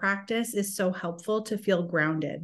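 Speaking in a plain, everyday voice, a woman talks at a fairly slow pace. Her pitch is medium and her intonation fairly even. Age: 30s. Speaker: author and illustrator. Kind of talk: casual interview chat.

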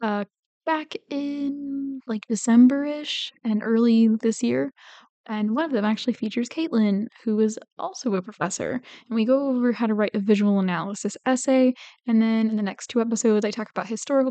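A soft-spoken woman's dark, mellow, fairly high-pitched voice at a fairly quick pace with ordinary pitch variation, dry and close with no echo, over a quiet background. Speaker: podcast host. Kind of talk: casual podcast monologue.

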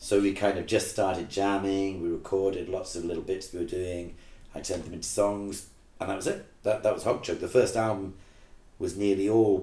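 Here a man speaks at a fairly quick pace with a fairly low pitch and a dark, mellow tone. His voice is somewhat breathy, with monotone, flat intonation. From England, Manchester. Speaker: rock band lead singer and teacher. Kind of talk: casual interview chat.

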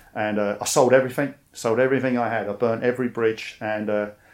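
In a London accent, a man speaks at a fairly quick pace. His pitch is medium. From East London, England. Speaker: army veteran. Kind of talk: interview.

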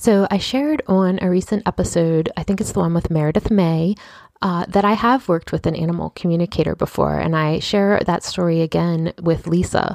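A woman with a normal speaking voice talks at a fairly quick pace and a fairly low pitch, with ordinary pitch variation, very even loudness, and a dry, close sound with no echo. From Baltimore, US. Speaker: podcast host. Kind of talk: interview; scripted podcast intro.

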